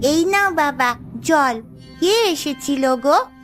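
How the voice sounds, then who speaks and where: A woman uses a cartoonish character voice pitched high. Music plays clearly in the background. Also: moderate pace. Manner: scolding.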